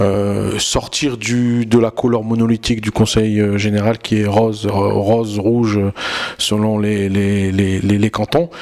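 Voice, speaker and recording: Speaking at a very slow pace, a man holds a fairly low pitch in a monotone, flat intonation. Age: 30s. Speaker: politician. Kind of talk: campaign interview. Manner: halting, with self-corrections.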